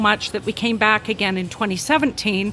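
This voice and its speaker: A woman with a Canadian accent speaks at a fairly high pitch over noticeable background noise. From western Canada. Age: 60s. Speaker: retired university faculty member. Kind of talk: casual interview chat.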